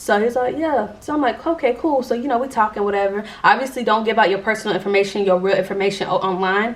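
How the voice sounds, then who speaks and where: At a very fast pace with hardly any pauses, the speech shows ordinary pitch variation over noticeable background noise. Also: woman, fairly high pitch for a woman. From Jacksonville, Florida. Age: 20s. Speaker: YouTuber. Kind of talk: casual storytime talk to camera. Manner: casual, chatty.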